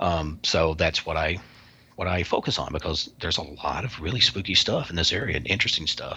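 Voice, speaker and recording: Talking at a fairly quick pace, a man has a very deep, low pitch. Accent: Kentucky. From US South, Kentucky. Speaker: paranormal researcher and author. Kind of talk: interview.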